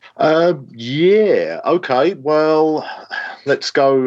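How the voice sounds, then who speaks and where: A man with an English accent and lively intonation against a quiet background. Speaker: space scientist. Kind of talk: interview. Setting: remote call from office.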